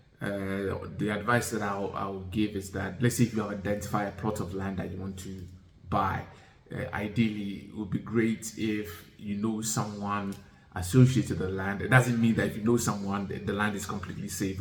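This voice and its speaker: The man's voice sits fairly low and stays monotone and flat. He keeps a moderate pace, with audible room echo around him. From Ghana and UK (moved to UK at ten). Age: 40s. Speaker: vlogger. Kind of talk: casual talk-to-camera advice. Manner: hesitant, many fillers.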